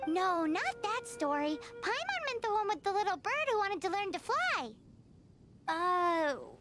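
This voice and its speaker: With clear background noise behind her, a woman does a put-on character voice at an extremely high pitch, moving at a moderate pace with long, frequent pauses. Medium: fan dub. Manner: excitable, cheeky.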